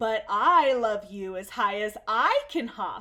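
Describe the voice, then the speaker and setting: A woman speaks in a put-on character voice. Her pitch is fairly high and her pace fairly slow. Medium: read story. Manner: gentle, warm.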